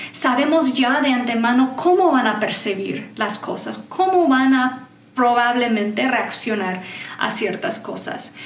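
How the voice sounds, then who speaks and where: Over noticeable background noise and audible room echo, a woman speaks at a fairly high pitch and a fairly slow pace with lively intonation. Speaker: certified enneagram coach. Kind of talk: conference talk.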